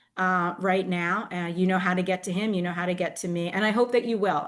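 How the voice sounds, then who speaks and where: In an American accent, a woman speaks with a plain, everyday voice at medium pitch. Her intonation is fairly even, and the background is quiet. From Philadelphia. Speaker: state legislator. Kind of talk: video meeting remarks. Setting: video call.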